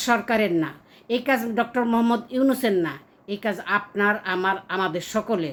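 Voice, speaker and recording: Lively in intonation, a woman speaks in a very clean recording with a silent background. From Bangladesh. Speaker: expatriate vlogger. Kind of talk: political appeal. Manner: impassioned.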